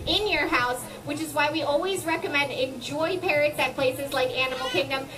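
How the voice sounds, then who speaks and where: Over music in the background, a woman talks at a fairly quick pace. Her pitch is extremely high. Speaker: presenter. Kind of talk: educational show commentary. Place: garden.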